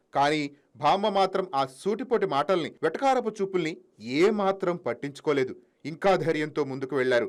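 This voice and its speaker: A man's high-pitched voice with lively intonation. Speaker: news narrator. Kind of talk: TV news voice-over.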